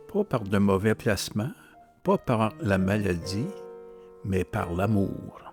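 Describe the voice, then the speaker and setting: Very slow speech from a man with a fairly low pitch, ordinary pitch variation and long, frequent pauses, dry and close with no echo, over music in the background. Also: very even loudness. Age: 70s. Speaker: novelist. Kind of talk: casual talk to camera.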